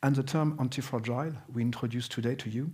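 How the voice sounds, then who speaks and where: Speaking at a fairly quick pace and medium pitch, a man with a French accent sounds somewhat breathy and uses ordinary pitch variation. Room echo can be heard. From France, Alsace. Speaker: business consultant. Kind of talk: conference presentation. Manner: halting, many fillers.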